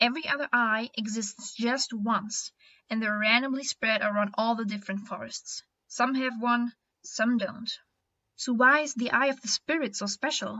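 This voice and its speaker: With a non-native accent, a woman talks at a moderate pace and a fairly high pitch, using ordinary pitch variation. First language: not English. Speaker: animator and storyteller. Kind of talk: informative explainer video. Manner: careful pronunciation. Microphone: built-in mic, poor audio quality.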